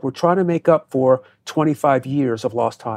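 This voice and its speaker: In an ordinary speaking voice, a man with an American accent talks at a moderate pace and fairly high pitch with fairly even intonation over a quiet background. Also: dry, close sound with no echo. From US Northeast (New Jersey). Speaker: counterterrorism expert and former FBI agent. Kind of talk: interview.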